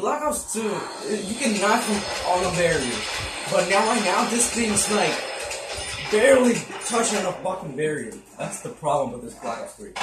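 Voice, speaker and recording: A man talks at a moderate pace, leaving long, frequent pauses, with clear music playing in the background. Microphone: phone near.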